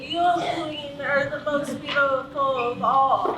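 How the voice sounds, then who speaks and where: A high-pitched, put-on character voice moves at a fairly slow pace. There is slight echo and clear background noise. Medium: stage play.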